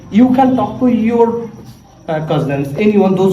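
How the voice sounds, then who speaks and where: Pitch swinging very widely, a man talks amid noticeable background noise and audible room echo. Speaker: English learning vlogger. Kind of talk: casual tutorial vlog. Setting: cousin's house. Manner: trying to speak slowly, with hesitations.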